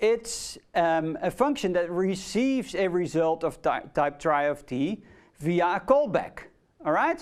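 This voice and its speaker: A fairly slow pace in a Dutch accent, on a very clean recording with a silent background. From Netherlands. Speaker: university lecturer. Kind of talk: lecture. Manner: hesitant, many fillers.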